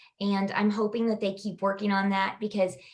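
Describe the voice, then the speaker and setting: In an American accent, a woman speaks with a somewhat breathy voice. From Kansas. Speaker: digital marketing agency owner. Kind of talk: podcast interview answer. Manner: casual, hesitant.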